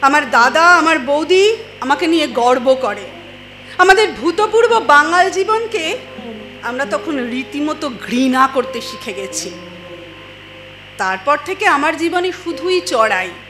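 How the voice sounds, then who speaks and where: A woman uses a high-pitched, raised, projected voice with very wide pitch swings. Music plays in the background. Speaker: poetry reciter. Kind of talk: poetry reading.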